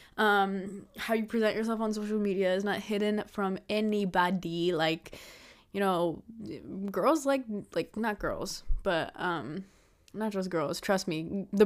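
In a very clean recording with a silent background, a woman with an unremarkable speaking voice talks at a moderate pace, her medium pitch held in fairly even intonation. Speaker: podcaster. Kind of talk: casual solo podcast monologue. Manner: casual, filler-heavy, chatty.

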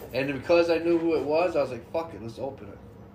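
Speech comes at a fairly quick pace in an American accent, with audible room echo and noticeable background noise. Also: man. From western New York, Jamestown. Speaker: podcast host. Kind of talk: casual chat.

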